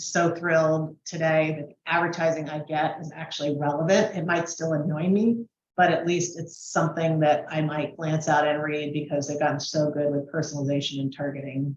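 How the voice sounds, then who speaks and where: A woman speaks with a very deep, low pitch. Her pace is fairly quick and her intonation fairly even. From Washington DC. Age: 60s. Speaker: business presenter, marketing consultant. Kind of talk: training webinar presentation. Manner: conversational, with fillers.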